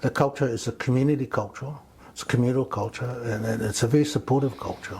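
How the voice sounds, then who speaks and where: Speaking very fast, a man has a Samoan accent. His pitch is medium and his intonation fairly even. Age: 70s. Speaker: community elder and men's wellness mentor. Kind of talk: podcast interview.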